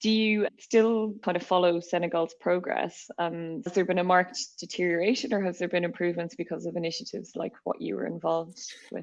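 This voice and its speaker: In an Irish accent, a woman speaks at a fairly quick pace. Her pitch is fairly low, with ordinary variation. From Ireland. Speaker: podcast host, company CEO. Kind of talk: podcast interview.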